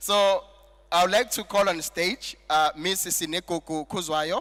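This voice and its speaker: A man talks at a fairly slow pace in a high pitch. His tone is bright and sharp, with ordinary pitch variation. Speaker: master of ceremonies. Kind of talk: event MC speech with jokes.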